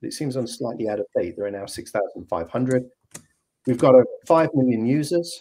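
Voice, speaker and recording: A man with a British accent speaks at a medium pitch, his intonation lively. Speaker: software company representative. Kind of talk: video call presentation. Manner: hesitant, many fillers.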